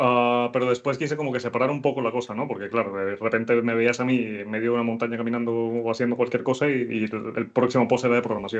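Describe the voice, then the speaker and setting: Very fast speech from a man at a medium pitch, over a quiet background. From Venezuela. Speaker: programmer and content creator. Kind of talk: interview. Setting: live stream. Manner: halting.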